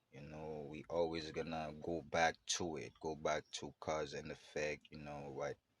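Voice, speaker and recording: A man talks with a very deep, low pitch and vocal fry. His intonation is monotone and flat, his pace fairly slow. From Haiti. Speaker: podcast host. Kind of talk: casual monologue. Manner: casual, filler-heavy, repetitive.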